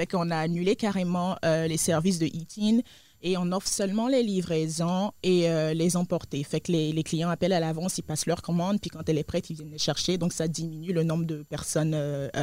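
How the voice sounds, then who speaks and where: At a fairly quick pace, a woman with a fairly low, dark and mellow voice speaks with fairly even intonation over a very clean recording with a silent background. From Côte d'Ivoire. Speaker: restaurant co-owner. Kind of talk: interview. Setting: studio. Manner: hesitant, many fillers.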